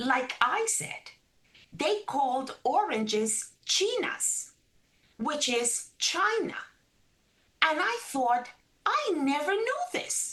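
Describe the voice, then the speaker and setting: Speaking in a Spanish accent, a woman with a high, bright, sharp voice moves at a very slow pace, with very wide pitch swings and long, frequent pauses. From Caribbean coast of Colombia. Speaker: registered dietitian. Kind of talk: interview.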